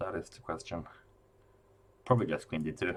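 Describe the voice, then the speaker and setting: A man speaks with a Norwegian accent. His pitch variation is ordinary. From Norway. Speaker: chess commentator. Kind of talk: live commentary. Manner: halting, with repeated words.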